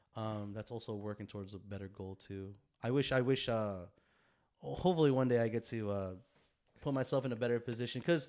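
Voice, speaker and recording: An unremarkable speaking voice at a fairly quick pace, with ordinary pitch variation and big swings in loudness. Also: man, medium pitch for a man. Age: 30s. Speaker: podcast host. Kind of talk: casual chat. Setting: home garage.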